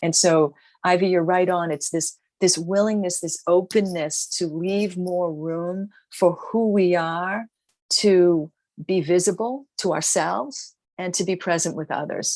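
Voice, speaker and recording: A woman's fairly low voice in a Boston accent, fairly slow and with fairly even intonation. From US Northeast, Boston. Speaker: author and business founder. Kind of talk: interview. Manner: halting.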